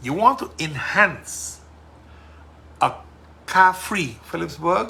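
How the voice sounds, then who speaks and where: A man is speaking. He has a Sint Maarten accent. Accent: Sint Maarten Caribbean English. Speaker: politician and podcast host. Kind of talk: casual monologue podcast. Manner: loud; forceful.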